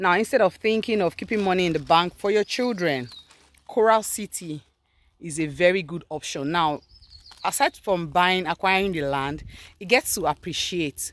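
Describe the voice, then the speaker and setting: A woman with a Nigerian accent speaks in an upbeat tone at a moderate pace, her pitch fairly low and the sound dry with no echo. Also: lively intonation. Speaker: real estate agent. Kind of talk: street seller pitch, direct sales pitch. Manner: persuasive, upbeat. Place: open country. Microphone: phone near.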